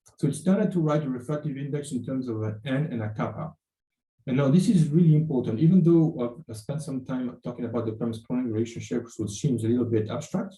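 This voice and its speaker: A man's medium-pitched, somewhat breathy voice, dark and mellow in tone, with ordinary pitch variation and a very fast pace. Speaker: university lecturer. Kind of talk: lecture. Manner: halting, many fillers.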